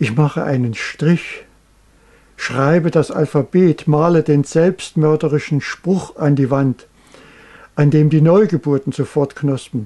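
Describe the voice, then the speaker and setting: A man speaks very slowly in a fairly high, somewhat breathy voice with a dark, mellow tone. His loudness stays very even, and his pitch varies in an ordinary way. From East Germany. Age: 80s+. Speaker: painter. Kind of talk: poetry reading.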